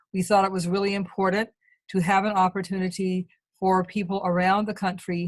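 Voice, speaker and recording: A woman talks in a medium pitch with monotone, flat intonation. Her voice is somewhat breathy. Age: 70s. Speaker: activist and webinar moderator. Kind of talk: panel introduction. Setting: video call. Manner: halting.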